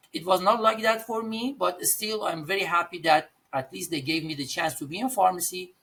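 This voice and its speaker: Talking at a fairly quick pace with hardly any pauses, a man with an Iranian accent uses a high pitch and lively intonation. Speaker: pharmacist and pharmacy owner. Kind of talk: podcast interview. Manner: halting.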